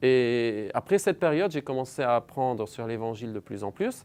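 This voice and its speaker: A man speaks with an Arabic accent and ordinary pitch variation in a very clean recording with a silent background. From Lebanon. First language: Arabic (speaking French). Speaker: believer sharing conversion story. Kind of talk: testimony.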